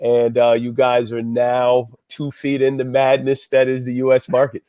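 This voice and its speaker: In a New Jersey accent, a man speaks fairly slowly at a medium pitch with monotone, flat intonation. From New Jersey, US. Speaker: financial consultant. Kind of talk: interview.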